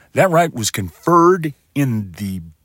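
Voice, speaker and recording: A man speaks with a West Texas accent at a fairly slow pace, his pitch swinging very widely. The sound is dry and close with no echo, on a very clean recording with a silent background. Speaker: military veteran; podcaster. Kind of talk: monologue.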